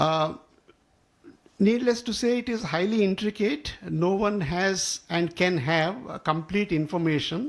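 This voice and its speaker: A man speaks with a Telugu accent at a fairly slow pace. His pitch varies in an ordinary way. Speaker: professor and co-author. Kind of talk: speech at a book launch. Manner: halting, many fillers.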